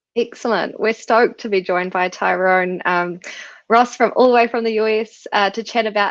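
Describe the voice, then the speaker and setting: Against a quiet background, a woman with a New Zealand accent talks at a fairly quick pace in a fairly high pitch and fairly even intonation. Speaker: co-founder and webinar host. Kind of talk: live webinar interview.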